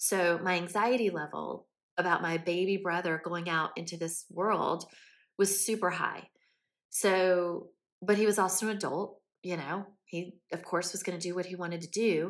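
A woman with an American accent and a plain, everyday voice speaks at a moderate pace with a fairly low pitch and fairly even intonation. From US South, Columbia, South Carolina. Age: 40s. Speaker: podcast host. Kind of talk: personal storytelling monologue.

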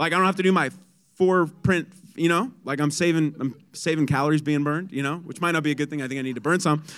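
Animated in tone, a man speaks at a fairly high pitch with ordinary pitch variation. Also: very clean recording, silent background. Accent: American. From San Diego, California. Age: 20s. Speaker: guest preacher. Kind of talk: sermon. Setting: church.

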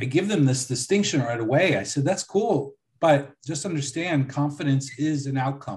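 Speaking with an American accent, a man sounds somewhat breathy at a fairly high pitch. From US, Buffalo, New York. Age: 40s. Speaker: leadership coach. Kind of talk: interview.

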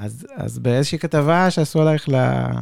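This man has a fairly high pitch. He talks at a fairly slow pace. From Israel. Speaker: podcast host. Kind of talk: interview. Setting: studio.

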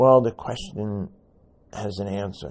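A somewhat breathy male voice. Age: 70s. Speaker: podcast host and supplement advocate. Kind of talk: solo monologue podcast. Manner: conversational, rambling.

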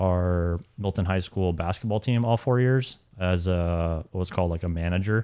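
A man with an American accent and a very deep, low pitch, at a moderate pace with very even loudness. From US South. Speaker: management consultant. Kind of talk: casual chat.

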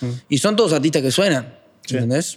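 Talking at a very fast pace, a man speaks. His pitch is fairly high. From Uruguay (Paysandú, then Montevideo from age 10). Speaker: trap musician. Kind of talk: casual interview chat.

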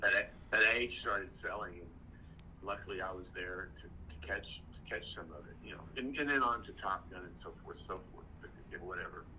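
Someone with an American accent speaks at a moderate pace with big swings in loudness, and audible room echo is heard. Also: man. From West Texas. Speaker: actor. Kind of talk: casual chat.

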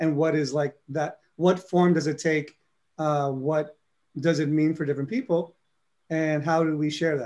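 In a New York accent, a man talks at a moderate pace. His pitch is fairly high, with fairly even intonation. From New York City (Harlem, South Bronx). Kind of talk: interview.

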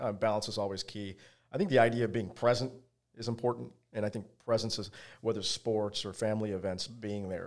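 A medium-pitched man with an American accent at a fairly quick pace, recorded very cleanly against a silent background. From Virginia, US. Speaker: pain physician and practice owner. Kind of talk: casual interview. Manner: halting, many fillers and repeats.

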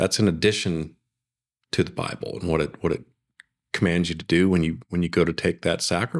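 A man's very deep, low voice at a fairly quick pace, with ordinary pitch variation, long, frequent pauses, and a very clean recording with a silent background. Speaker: host's husband, churchgoer. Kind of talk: casual reminiscing conversation. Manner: halting, with frequent repeated words.

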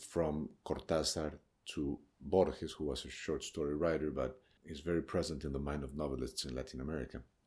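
A man with a Spanish accent speaks at a fairly quick pace in a very deep, low voice. His intonation is fairly even, with vocal fry. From Colombia, Bogotá (interior). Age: 40s. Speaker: novelist. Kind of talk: interview. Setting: literary festival.

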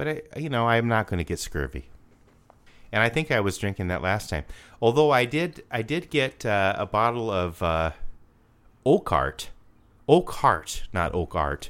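With an Upper Midwest accent, the speaker uses vocal fry, very wide pitch swings and long, frequent pauses on a very clean recording with a silent background. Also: man, medium pitch for a man, moderate pace. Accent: Upper Midwest American. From South Dakota. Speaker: podcast co-host. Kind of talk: casual chat.

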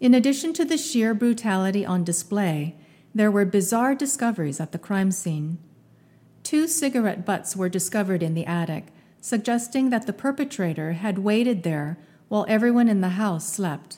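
A woman speaks at a moderate pace in a somewhat breathy, dark and mellow voice of medium pitch, with very wide pitch swings, in a very clean recording with a silent background. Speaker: podcast narrator. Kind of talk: true-crime narration, scripted. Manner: measured, grave, steady storytelling pace.

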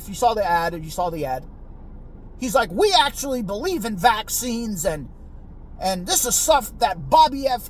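A high-pitched man with an American accent, his pitch swinging very widely, over noticeable background noise. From United States, Mexican American. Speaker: podcast host. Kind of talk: solo political commentary monologue. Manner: casual, profane, repetitive filler; halting, frequent stammering repeats.

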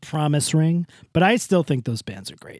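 On a very clean recording with a silent background and a dry, close sound with no echo, a man speaks in an animated tone at a moderate pace, his pitch fairly high. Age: 40s. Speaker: podcast co-host. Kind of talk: casual chat.

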